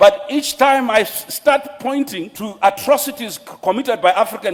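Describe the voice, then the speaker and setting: There is noticeable background noise behind this speaker. A man talks at a moderate pace with lively intonation. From Zimbabwe. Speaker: lawyer and pan-Africanist speaker. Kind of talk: panel debate speech. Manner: impassioned.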